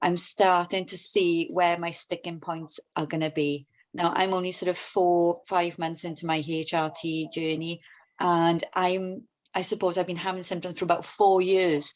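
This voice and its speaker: In a Welsh accent, a woman speaks at a moderate pace with a fairly low pitch and monotone, flat intonation. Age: 40s. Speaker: union member, steel industry worker. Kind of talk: testimony. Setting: video call webinar.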